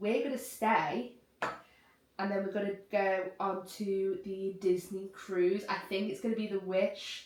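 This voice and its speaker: Flat, monotone delivery at a fairly slow pace, in a Liverpool accent. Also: woman, medium pitch for a woman. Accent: Scouse. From Liverpool region, England. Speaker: YouTuber. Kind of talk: casual chat.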